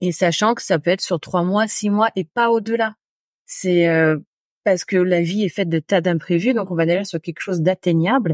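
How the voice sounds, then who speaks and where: Medium pitch from a woman at a moderate pace with ordinary pitch variation, on a very clean recording with a silent background and a dry, close sound with no echo. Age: 40s. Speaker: podcaster and home organizing expert. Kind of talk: casual chat. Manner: hesitant, many fillers.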